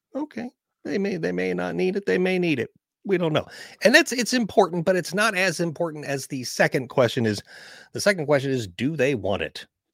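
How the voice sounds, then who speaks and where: A man's fairly high voice with vocal fry and very wide pitch swings at a moderate pace, on a very clean recording with a silent background. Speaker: marketing consultant and voiceover coach. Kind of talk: casual interview chat.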